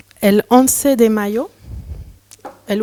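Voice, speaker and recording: A woman's fairly high voice with a non-native accent, a dark, mellow tone and fairly even intonation. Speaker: curator and researcher. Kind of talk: lecture read from a text. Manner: halting, with hesitations.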